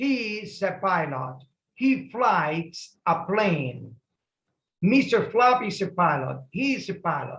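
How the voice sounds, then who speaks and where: Speaking very slowly in a Spanish accent, a man with a high pitch makes very wide pitch swings. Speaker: English teacher. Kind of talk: lesson reading aloud for repetition.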